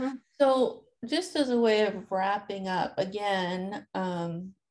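Here is a normal speaking voice. Its intonation is lively. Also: woman. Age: 50s. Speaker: podcast host. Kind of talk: casual interview chat.

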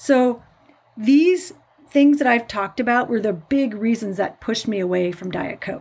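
Lively intonation in an American accent. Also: woman. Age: 50s. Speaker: nurse podcast host. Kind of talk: solo podcast talk.

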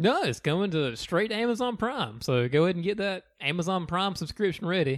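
Talking at a fairly quick pace with hardly any pauses, a man with a strong Southern accent uses a high pitch and very wide pitch swings. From US South. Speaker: podcast co-host. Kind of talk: casual chat.

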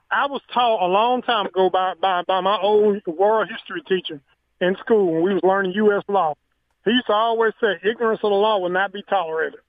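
Using fairly even intonation, a man with a high pitch and a Southern US accent speaks at a fairly quick pace. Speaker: caller. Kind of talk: casual chat. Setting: phone call.

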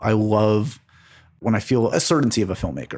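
Recorded very cleanly against a silent background, a man with an American accent uses a fairly low pitch and vocal fry at a fairly quick pace. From New York City, Manhattan. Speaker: entertainment journalist and podcast host. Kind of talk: casual interview conversation.

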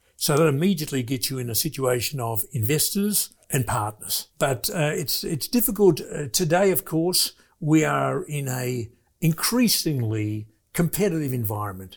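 Somewhat breathy, a man with a fairly high voice swings his pitch very widely. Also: moderate pace. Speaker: business investor, former manufacturer. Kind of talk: interview. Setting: studio.

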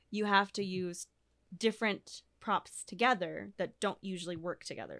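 A woman with a normal speaking voice at medium pitch and a fairly slow pace, fairly even intonation, in a very clean recording with a silent background. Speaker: fire dancer. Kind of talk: casual interview chat.

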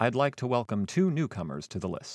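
A man with an American accent and vocal fry, at a moderate pace, on a very clean, silent recording with a dry, close sound and no echo. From US Pacific Northwest, Seattle area. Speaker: podcast host. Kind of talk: storytelling monologue.

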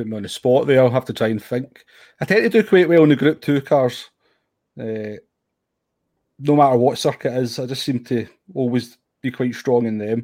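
Speaking in a dark, mellow tone with a Scottish accent, a man keeps a moderate pace and ordinary pitch variation, with long, frequent pauses. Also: medium pitch for a man. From Scotland. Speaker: sim racer. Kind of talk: casual interview.

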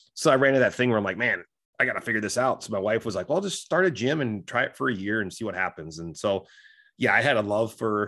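A man talks at a very fast pace with ordinary pitch variation. The background is silent on a very clean recording. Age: 40s. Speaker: former stockbroker and MMA gym owner. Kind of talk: casual interview.

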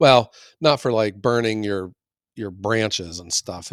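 A man at a fairly slow pace with ordinary pitch variation, dry and close with no echo, in a very clean recording with a silent background. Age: 50s. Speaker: firewood business owner, podcast co-host. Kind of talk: casual chat.

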